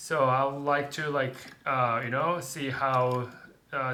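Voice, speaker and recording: In a room with audible echo, a man with a Japanese accent talks at a moderate pace, his fairly high voice bright and sharp in tone. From Japan, Tokyo. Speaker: English teacher. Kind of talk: casual chat. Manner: halting.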